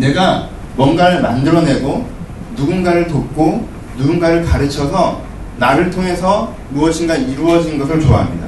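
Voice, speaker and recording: A man's high-pitched voice with ordinary pitch variation, audible room echo and noticeable background noise. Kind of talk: sermon. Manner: animated.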